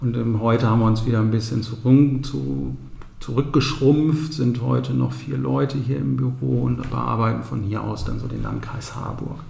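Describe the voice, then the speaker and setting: Amid noticeable background noise and audible room echo, a man speaks at a moderate pace with very wide pitch swings. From Ostwestfalen, Bünde. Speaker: real estate agent and company founder. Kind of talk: interview.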